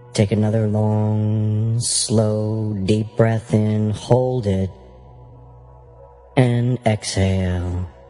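A man with a fairly low pitch and a soothing tone, very slow pace and monotone, flat intonation, with music in the background. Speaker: hypnosis guide. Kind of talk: hypnosis guided meditation, audiobook narration. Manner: slow, soothing, relaxing.

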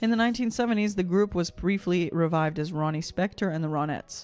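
Faint music plays behind a woman who speaks at a moderate pace. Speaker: vocal coach reacting live. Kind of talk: reading an article aloud on a live reaction stream. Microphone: studio mic.

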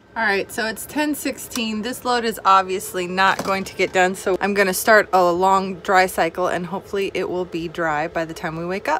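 A woman talks at a moderate pace with hardly any pauses and ordinary pitch variation, in a dry sound with no echo and light background noise. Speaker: RV travel vlogger. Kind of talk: casual vlog chat. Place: home room. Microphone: phone near.

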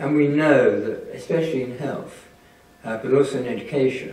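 A man talks at a moderate pace, and room echo is audible. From England. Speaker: statistics professor. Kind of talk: lecture. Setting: stage with audience. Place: hall.

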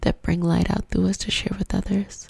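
A woman speaks softly in a calm tone. The sound is dry, with no echo. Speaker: ASMR spiritual creator. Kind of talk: soft guided prayer and ASMR talk. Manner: soft-spoken, calm intimate prayer. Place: home room. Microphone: studio mic.

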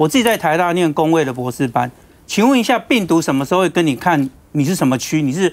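A man talks at a very fast pace. He has a Taiwanese accent. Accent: Taiwanese Mandarin. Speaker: city government official. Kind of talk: heated debate. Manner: animated. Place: studio.

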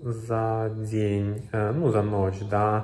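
This man's voice is fairly low and somewhat breathy. He speaks at a very slow pace, and room echo is audible. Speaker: travel vlogger. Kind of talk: casual vlog chat. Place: home room. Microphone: phone near.

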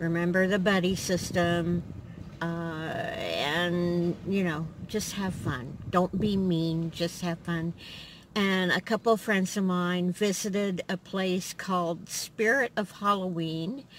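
Speaking very slowly with fairly even intonation, a woman with a fairly low pitch is heard in a dry sound with no echo and light background noise. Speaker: vlogger. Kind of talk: casual vlog chat. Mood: friendly, light laughter. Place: car.

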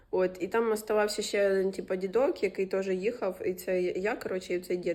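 Here a woman speaks with fairly even intonation. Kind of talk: casual vlog talk to camera. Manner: casual, profane.

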